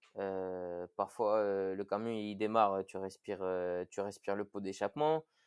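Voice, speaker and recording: A man with a fairly low pitch speaks very slowly against a quiet background, the sound dry and close with no echo. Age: 20s. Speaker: firefighter and CrossFit athlete. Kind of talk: podcast interview. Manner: hesitant, many fillers.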